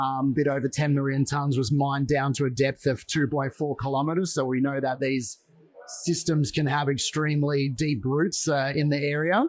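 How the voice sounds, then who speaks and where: Fairly even intonation at a moderate pace, with an Australian accent and very even loudness. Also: man, fairly high pitch for a man. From Western Australia (Perth). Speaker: mining exploration executive. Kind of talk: interview. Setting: mining investment event.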